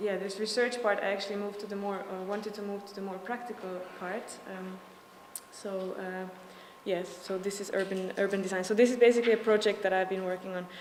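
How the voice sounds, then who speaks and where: Over noticeable background noise and audible room echo, a speaker with a Slovak accent goes at a fairly quick pace in a monotone, flat intonation with big swings in loudness. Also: woman, medium pitch for a woman. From Slovakia. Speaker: urban design student. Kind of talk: presentation. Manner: fast; halting, many fillers.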